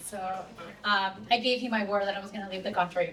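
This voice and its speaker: In a Latin American accent, a woman talks at a very fast pace with a medium pitch. Noticeable background noise and audible room echo are present. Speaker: conference moderator. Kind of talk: event moderation, introducing speaker. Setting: stage with audience.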